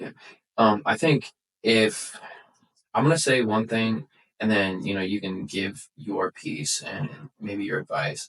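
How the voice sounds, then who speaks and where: A man with a fairly low pitch and lively intonation speaks at a fairly slow pace, leaving long, frequent pauses. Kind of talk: casual faith podcast chat. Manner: frequent fillers and restarts.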